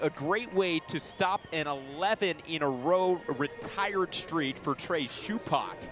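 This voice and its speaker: The speech runs on with hardly any pauses. Pitch moves in an ordinary way over music in the background. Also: man. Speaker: baseball play-by-play broadcaster. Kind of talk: baseball radio play-by-play call.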